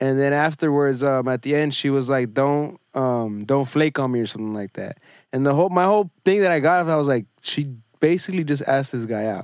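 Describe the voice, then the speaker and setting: Recorded very cleanly with a silent background and a dry, close sound with no echo, a man talks fairly quickly in a plain, everyday voice, fairly high in pitch with ordinary pitch variation. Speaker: podcast producer and host. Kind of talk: casual chat.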